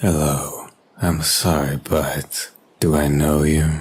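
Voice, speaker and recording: The voice is a man's put-on character act, pitched very deep and low. Delivery is very slow. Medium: audio drama. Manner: polite, reserved.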